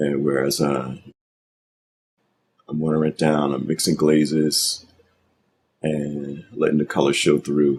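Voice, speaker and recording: This man's voice drops very deep and low. His delivery stays monotone and flat. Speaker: digital artist. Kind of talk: painting tutorial commentary.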